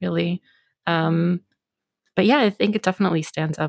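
Talking at a very fast pace with vocal fry, a woman with a very deep, low pitch is heard in a dry, close sound with no echo. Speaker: podcast co-host. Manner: filler words, casual.

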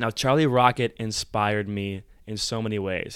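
A man with an American accent speaks at a moderate pace and medium pitch in a very clean recording with a silent background. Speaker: podcast host, entrepreneur. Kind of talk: personal storytelling monologue. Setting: hotel room, on camera. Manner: animated.

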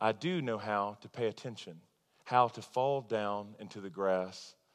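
In an unremarkable speaking voice, a man talks at a fairly low pitch with ordinary pitch variation against a quiet background. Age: 30s. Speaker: pastor. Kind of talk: sermon. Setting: church.

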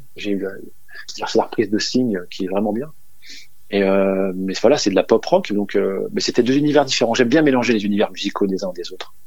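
A man with a fairly low pitch talks at a fairly quick pace, with ordinary pitch variation. His speech is broken by long, frequent pauses. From northern France, Dunkirk. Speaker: DJ and music producer. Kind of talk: radio interview. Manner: halting.

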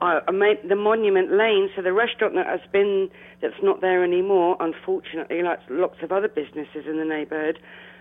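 A woman with a southern English accent and a fairly low voice speaks at a fairly quick pace. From London (Eltham), England. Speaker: café owner. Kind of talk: interview. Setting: phone call. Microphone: landline telephone.

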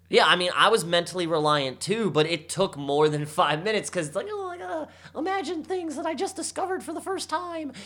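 A man's high, bright, sharp voice, raised and projected, with very wide pitch swings and a fairly quick pace. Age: 30s. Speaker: podcast co-host. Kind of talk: casual chat.

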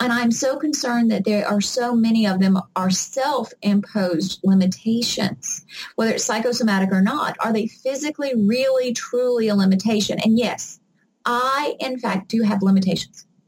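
A woman with a Southern US accent talks at a moderate pace, her fairly high voice somewhat breathy and showing ordinary pitch variation. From US South (Mississippi). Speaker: adaptive athlete and obstacle racer. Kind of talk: interview.

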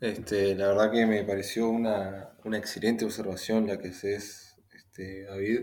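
Monotone and flat, a man's voice sits at a fairly low pitch and moves at a fairly slow pace. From Uruguay. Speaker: industrial engineer. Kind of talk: casual discussion.

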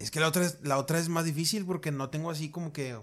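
Recorded very cleanly against a silent background, an unremarkable speaking voice moves at a fairly quick pace with ordinary pitch variation. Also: man. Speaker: podcast co-host. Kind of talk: casual chat.

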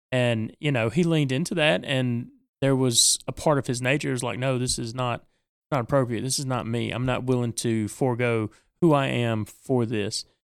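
A man with an unremarkable speaking voice talks at a medium pitch and a moderate pace, using ordinary pitch variation. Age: 40s. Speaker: podcast co-host, tabletop gamer. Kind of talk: casual chat.

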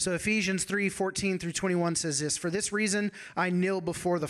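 The text comes through in an unforced reading voice with fairly even intonation.

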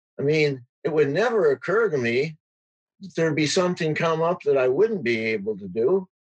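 A man at a fairly high pitch with lively intonation and a fairly quick pace. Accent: Upper Midwest. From rural Wisconsin. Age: 70s. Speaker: teacher. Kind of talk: interview.

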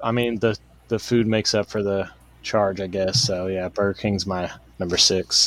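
In an American accent, a man with an unremarkable speaking voice talks at a moderate pace, with fairly low pitch and fairly even intonation. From Boston. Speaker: podcast co-host. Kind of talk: casual chat.

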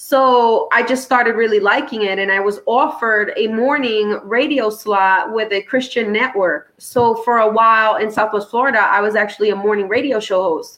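With a New York accent, a woman speaks in a bright, sharp tone at a fairly high pitch, with hardly any pauses. Her loudness stays very even and her intonation fairly even. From New York City, Brooklyn. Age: 30s. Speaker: comedian and former radio host. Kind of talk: casual interview chat.

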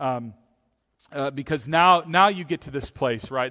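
On a very clean recording with a silent background, a man's bright, sharp tone shows ordinary pitch variation. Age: 40s. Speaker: pastor. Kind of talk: sermon. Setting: church.

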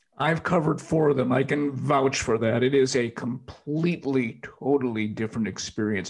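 Over noticeable background noise, a man with a medium pitch talks with hardly any pauses. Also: ordinary pitch variation, moderate pace, very even loudness. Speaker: podcast host. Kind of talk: interview with sponsor reads.

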